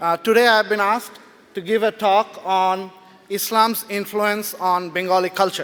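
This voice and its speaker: This man talks loudly at a fairly slow pace, his pitch high for a man. His intonation stays fairly even. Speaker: writer and blogger. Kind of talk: talk to a live audience.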